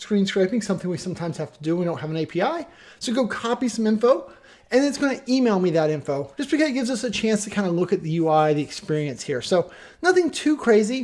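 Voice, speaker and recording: A man with a high pitch talks at a very fast pace, his voice making very wide pitch swings. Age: 40s. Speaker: software tutorial presenter. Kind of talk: tutorial. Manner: casual, conversational.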